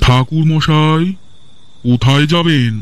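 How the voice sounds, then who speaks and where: A put-on character voice from a man at a fairly high pitch, with noticeable background noise. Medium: audio drama. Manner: polite, deferential, probing.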